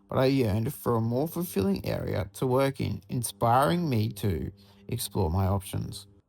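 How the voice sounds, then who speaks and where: A man with an Australian accent at medium pitch, lively intonation, a moderate pace, and a very clean recording over a silent background. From Australia, Sunshine Coast, Queensland. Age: 20s. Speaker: university student. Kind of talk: scripted narration.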